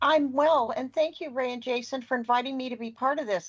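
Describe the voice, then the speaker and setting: A woman with an American accent and a high pitch speaks at a very fast pace. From US West Coast, California Bay Area. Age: 60s. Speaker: assistive technology instructor. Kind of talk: podcast interview.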